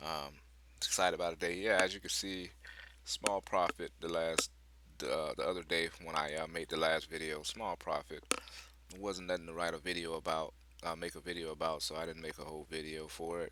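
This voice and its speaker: Quietly and at a fairly quick pace, a man speaks with a very deep, low pitch, a bright, sharp tone, and monotone, flat intonation. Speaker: day trader sharing trades. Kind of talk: casual market commentary video. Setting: at home with others in the house. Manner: quiet, keeping voice down; hesitant, many fillers.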